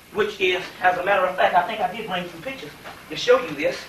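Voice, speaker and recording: A man speaks in a raised, projected voice with a Southern US accent at a fairly quick pace. Noticeable background noise and audible room echo surround him. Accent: southern US, sounds like a preacher. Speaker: lecturer on esoteric history. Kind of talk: lecture. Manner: preacher-like, folksy.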